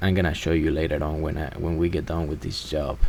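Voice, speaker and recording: Speaking at a moderate pace, a man with a very deep, low pitch uses ordinary pitch variation. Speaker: electrician. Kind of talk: voiceover narration of work footage.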